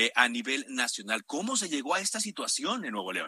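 A man's fairly high voice at a very fast pace, full of very wide pitch swings, with a dry, close sound and no echo. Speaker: radio host. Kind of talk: news talk radio.

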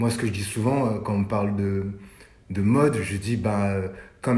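The man's voice is fairly low and somewhat breathy, with fairly even intonation. He talks at a moderate pace, and room echo can be heard. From France, Paris suburbs (Sarcelles, Val d'Oise). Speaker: fashion journalist and stylist. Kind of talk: casual interview. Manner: hesitant, with many fillers.

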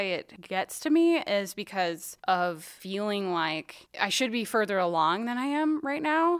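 A woman's medium-pitched voice with very wide pitch swings, at a fairly slow pace with hardly any pauses, on a very clean recording with a silent background. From South Dakota. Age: 30s. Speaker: nonprofit worker. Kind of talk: casual chat.

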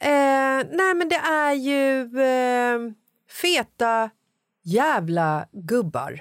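Speaking very slowly in a high pitch, a woman keeps her loudness very even while her pitch swings very widely, on a very clean recording with a silent background. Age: 40s. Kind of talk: casual chat.

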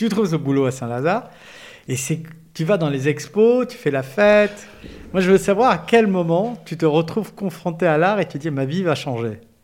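A man with a high pitch, lively intonation and a moderate pace. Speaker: podcast host. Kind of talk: interview.

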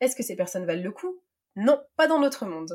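A woman speaks at a moderate pace. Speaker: podcast host and life coach. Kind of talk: read monologue.

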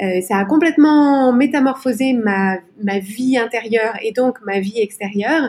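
This woman's voice is fairly high in pitch, with ordinary pitch variation and a fairly slow pace. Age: 40s. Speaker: life coach and podcaster. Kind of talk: interview. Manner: halting.

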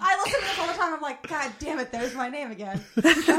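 With lively intonation, a woman speaks at a high pitch over noticeable background noise. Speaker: guest co-host. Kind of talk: casual banter. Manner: teasing, joking, profane.

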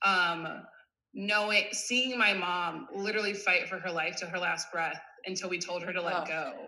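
Speaking in an American accent at medium pitch, a woman shows ordinary pitch variation amid audible room echo. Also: moderate pace. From US Midwest, suburban Cleveland, Ohio. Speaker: wellness coach, former volleyball player. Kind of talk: casual interview chat.

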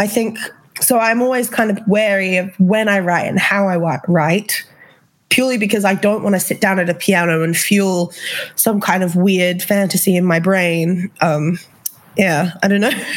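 A woman in an Australian accent, medium in pitch, with fairly even intonation, very even loudness and a moderate pace. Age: 20s. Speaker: singer-songwriter. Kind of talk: casual interview chat.

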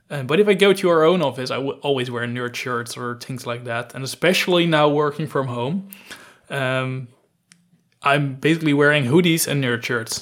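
The speaker has a Dutch accent. Pitch varies in an ordinary way. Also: man, fairly high pitch for a man, moderate pace. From Netherlands, near Gouda. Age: 20s. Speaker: data analytics consultant. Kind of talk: interview.

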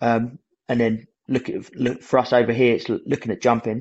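A man with a British accent, medium pitch and a moderate pace. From Britain. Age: 30s. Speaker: Paralympic snowboard athlete. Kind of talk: casual chat. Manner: halting.

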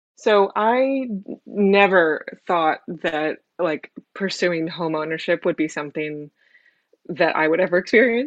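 Speaking fairly slowly with long, frequent pauses, a woman uses a fairly low pitch and lively intonation. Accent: Californian. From San Francisco, California, US. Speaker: immigrant interviewee. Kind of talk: personal testimony.

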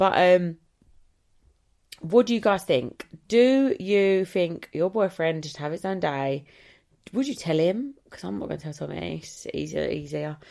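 With an English accent, a woman speaks fairly slowly, leaving long, frequent pauses, and her loudness swings widely. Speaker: vlogger. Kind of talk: casual chat. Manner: rambling, hesitant.

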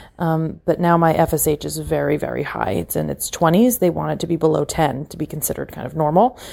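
Loudness swings widely as a woman speaks at a very fast pace. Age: 30s. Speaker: caller. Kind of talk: voicemail.

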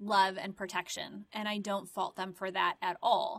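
An unremarkable speaking voice from a woman, medium in pitch, with fairly even intonation and a moderate pace. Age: 40s. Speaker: podcast host. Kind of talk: solo monologue. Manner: conversational, reflective.

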